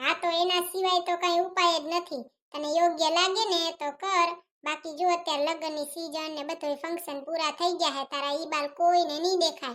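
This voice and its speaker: In a cartoonish character voice, a female-sounding speaker talks at a moderate pace with extremely high pitch. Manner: whiny.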